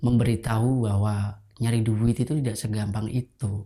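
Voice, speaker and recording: A dark, mellow tone moves at a fairly slow pace in monotone, flat intonation. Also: man. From Indonesia, Pekalongan (Central Java). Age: 20s. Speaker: batik trader sharing life story. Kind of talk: personal testimony.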